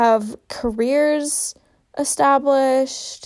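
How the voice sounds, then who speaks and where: Very slow pace from a woman, pitch varying in an ordinary way. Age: 20s. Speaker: podcast host. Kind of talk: casual monologue. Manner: talkative.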